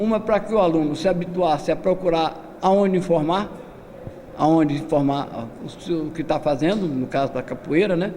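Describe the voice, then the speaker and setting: A man talks at a high pitch with ordinary pitch variation. Noticeable background noise is present. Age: 70s. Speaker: capoeira master. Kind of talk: lecture.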